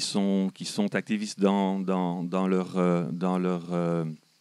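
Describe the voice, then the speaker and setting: A man talks with a Belgian accent. He speaks at a very slow pace. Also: dry, close sound with no echo. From Belgium. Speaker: audience member. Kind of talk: audience question. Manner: halting, many repetitions.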